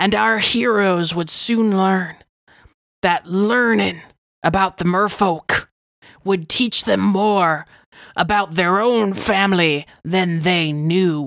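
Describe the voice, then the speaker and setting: On a very clean recording with a silent background, a woman speaks at a very slow pace and very even loudness, her pitch medium with ordinary variation. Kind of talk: fantasy podcast recap narration. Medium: actual play. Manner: wry, musing.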